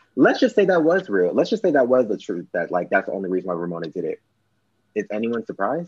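A man talks very fast at a medium pitch, his voice swinging very widely in pitch. The sound is dry and close with no echo, and the background is quiet. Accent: American. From Los Angeles. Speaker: podcast guest. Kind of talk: casual chat.

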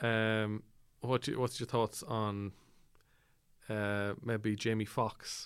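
Very slowly and with long, frequent pauses, a man with an Irish accent speaks in a fairly low pitch with monotone, flat intonation. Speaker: podcast host. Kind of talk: comedic interview.

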